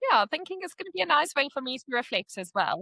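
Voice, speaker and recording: A woman speaks with very wide swings in pitch. Her tone comes across bright and sharp. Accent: South African. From South Africa. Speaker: podcast guest, expat. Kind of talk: casual chat. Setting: call.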